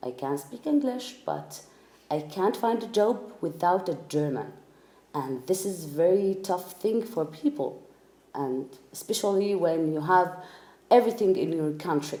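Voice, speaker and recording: A woman with an Arabic accent talks at a fairly slow pace, her medium pitch making very wide swings. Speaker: refugee interviewee. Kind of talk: personal testimony. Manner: halting, many fillers.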